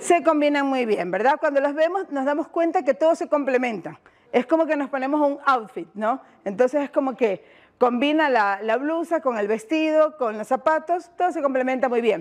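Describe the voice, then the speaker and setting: A woman talks at a high pitch with lively intonation. She speaks in a coastal Ecuadorian accent. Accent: Ecuadorian coastal Spanish (Guayaquil). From Ecuador, Guayaquil. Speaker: education workshop facilitator. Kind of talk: workshop presentation. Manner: fast; interactive, questioning audience.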